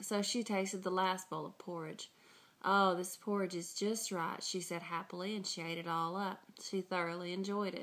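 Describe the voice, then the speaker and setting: A woman with an Arkansas accent, medium pitch and monotone, flat intonation, on a very clean recording with a silent background. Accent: Southern drawl, Arkansas. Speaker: dialect project contributor. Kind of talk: reading aloud; casual self-introduction.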